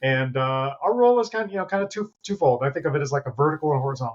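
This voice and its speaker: A man speaks very fast in a fairly high, somewhat breathy voice with ordinary pitch variation. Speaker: federal health IT official. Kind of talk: casual interview.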